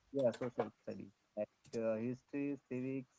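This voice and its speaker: Soft-spoken and at a fairly slow pace, a man of medium pitch speaks with a dark, mellow tone in a dry, close sound with no echo. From India, Karnataka. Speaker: public welfare officer. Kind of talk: language-practice conversation on video call. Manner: halting, many fillers.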